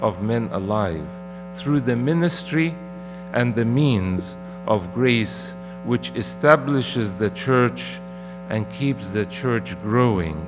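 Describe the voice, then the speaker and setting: Against noticeable background noise, a man talks at a very slow pace. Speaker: clergyman preaching. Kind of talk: sermon. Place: church. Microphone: podium.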